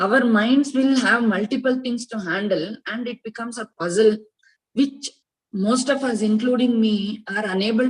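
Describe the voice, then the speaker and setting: A woman speaks at a moderate pace in a fairly high, somewhat breathy voice. Her pitch variation is ordinary, but her loudness swings widely. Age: 60s. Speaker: Gita class student. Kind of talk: personal testimony in online class. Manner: hesitant, many fillers.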